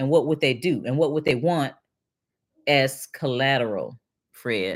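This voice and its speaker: A woman talks in an American accent with lively intonation. The recording is very clean, the background silent. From Detroit, Michigan. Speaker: financial educator and livestream host. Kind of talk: live stream chat reading and Q&A. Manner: casual, halting with repetitions.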